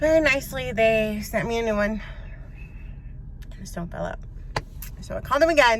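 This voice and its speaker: With long, frequent pauses, a woman talks at a fairly quick pace and a fairly high pitch amid audible room echo. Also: ordinary pitch variation. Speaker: vlogger recovering from covid. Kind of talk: casual vlog.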